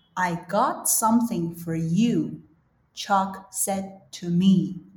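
With a Chinese accent, a woman speaks at a very slow pace in a medium pitch. Her voice is somewhat breathy, and her intonation is lively. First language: Mandarin Chinese. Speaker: podcast host and English teacher. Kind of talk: reading aloud; casual chat.

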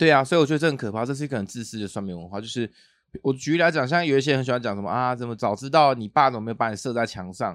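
A man at medium pitch speaks at a very fast pace. His intonation is lively and his loudness swings widely. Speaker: podcast host. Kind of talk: casual chat. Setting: studio. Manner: animated.

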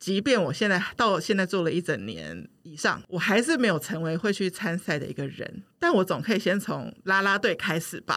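On a very clean recording with a silent background, a woman talks with vocal fry and hardly any pauses. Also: medium pitch for a woman, ordinary pitch variation, moderate pace. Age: 40s. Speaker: podcast producer. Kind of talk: casual chat.

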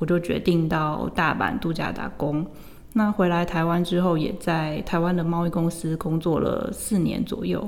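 Over noticeable background noise, a woman speaks at a fairly slow pace and fairly low pitch. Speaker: language teacher. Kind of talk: interview.

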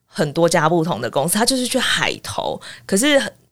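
With a Taiwanese accent, a woman talks at a fairly quick pace and a fairly low pitch, with very wide pitch swings and vocal fry. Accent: Taiwanese Mandarin. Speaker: former international news reporter. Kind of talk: casual interview.

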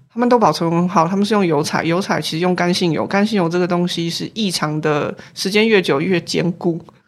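Over noticeable background noise, a woman with a fairly low pitch speaks at a fairly quick pace with hardly any pauses. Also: fairly even intonation. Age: 40s. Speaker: professor of artifact conservation. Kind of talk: casual interview.

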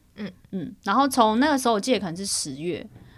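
With an ordinary speaking voice, a woman talks at a fairly quick pace using lively intonation. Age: 30s. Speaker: podcast co-host, freelance photographer. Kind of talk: casual chat.

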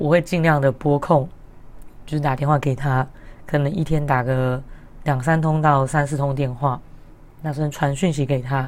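Her pitch is very deep and low. The woman keeps a moderate pace. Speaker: podcast host. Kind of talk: casual solo podcast talk. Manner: cheerful, upbeat.

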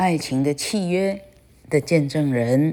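A woman with a very deep, low pitch and a dark, mellow tone, at a very slow pace. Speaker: English teacher. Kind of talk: reading aloud; lecture. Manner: halting.

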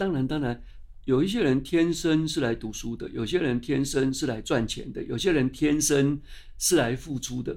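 This man's voice is fairly high, moving at a moderate pace with ordinary pitch variation. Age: 60s. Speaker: science magazine publisher. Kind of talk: interview. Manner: animated.

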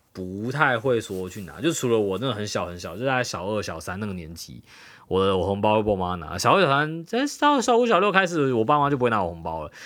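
With an animated tone, a fairly low-pitched man talks at a fairly quick pace, using very wide pitch swings and big swings in loudness. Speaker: podcast co-host. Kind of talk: casual chat.

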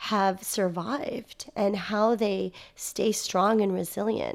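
A woman speaks at a medium pitch. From United States. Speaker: social worker and university lecturer. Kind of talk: interview.

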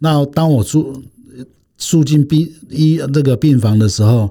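Somewhat breathy, a man speaks with lively intonation in a dark, mellow tone. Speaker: patient association chairman, retired naval officer. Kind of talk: interview testimony. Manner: halting, many fillers.

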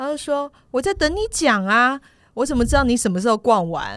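In a very clean recording with a silent background, a woman speaks at a fairly quick pace. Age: 50s. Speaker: podcast co-host. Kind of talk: casual chat.

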